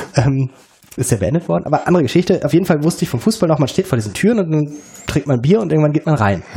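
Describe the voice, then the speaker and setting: Noticeable background noise sits behind this recording. A man talks very fast at a fairly high pitch. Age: 40s. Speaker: educational consultant. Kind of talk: casual chat. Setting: in a kitchen. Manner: hesitant, many filler sounds.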